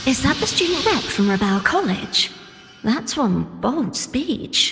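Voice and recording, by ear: A woman uses a put-on character voice, high-pitched with big pitch swings and a fairly bright tone. She speaks slowly over faint music in the background.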